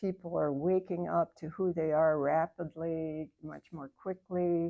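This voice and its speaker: A woman with an American accent, fairly low in pitch and calm in tone, at a fairly slow pace, with monotone, flat intonation and big swings in loudness. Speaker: meditation teacher. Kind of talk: spiritual talk and guided meditation to a live group. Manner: calm, reflective, conversational.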